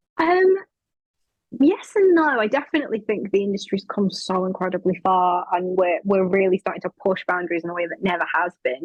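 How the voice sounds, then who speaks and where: A woman with a strong northern English accent talks at a fairly quick pace with ordinary pitch variation. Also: medium pitch for a woman. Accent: thick northern English. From northern England. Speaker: actress. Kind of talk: interview.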